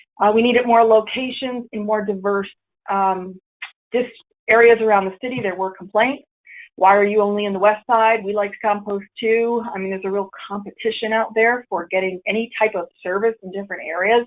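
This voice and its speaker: At a fairly quick pace, a woman talks in a fairly high voice with fairly even intonation. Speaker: city program coordinator presenting. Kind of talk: webinar presentation. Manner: fast.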